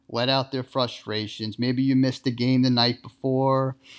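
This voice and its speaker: Here is a man with an American accent and medium pitch. The background is quiet. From Long Island, New York. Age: 20s. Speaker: sports podcast host. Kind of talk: solo podcast monologue.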